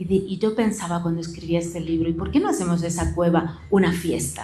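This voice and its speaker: Somewhat breathy, a woman speaks at a moderate pace with a fairly low pitch and fairly even intonation, with audible room echo around her. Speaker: philosophy professor. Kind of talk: book presentation talk. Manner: some stammering.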